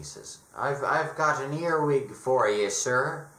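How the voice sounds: A man does a put-on character voice, raspy and fairly high-pitched, with ordinary pitch variation and big swings in loudness. He speaks at a fairly slow pace, and there is audible echo.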